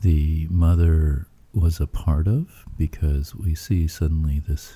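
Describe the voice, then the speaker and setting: A man's very deep, low pitch at a very slow pace, somewhat breathy, with a dark, mellow tone. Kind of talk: sleep story. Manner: monotone; soft-spoken, slow.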